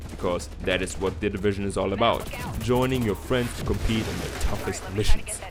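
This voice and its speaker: Speaking fairly quickly, a man has a fairly low pitch and a German accent. Music plays in the background, and the room echo is audible. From Germany. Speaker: gaming YouTuber. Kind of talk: video game preview narration. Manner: casual, jokey.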